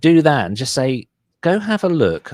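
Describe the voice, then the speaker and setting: A man with a strong British accent and lively intonation, dry and close with no echo, on a very clean recording with a silent background. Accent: thick British. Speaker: SEO agency owner. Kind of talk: interview, casual business talk. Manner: fast, with fillers and false starts.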